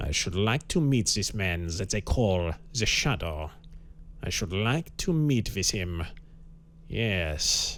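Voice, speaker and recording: A man puts on a guttural character voice with a German accent, fairly low in pitch yet with very wide swings. He goes at a fairly slow pace with long, frequent pauses, over clear background noise. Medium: read story. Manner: thoughtful, measured, formal.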